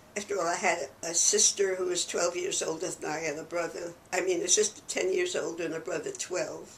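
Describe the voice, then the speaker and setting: Against noticeable background noise, a woman speaks fairly quickly. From New York City. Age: 90s. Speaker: church archivist and historian. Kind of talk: oral history interview. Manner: conversational.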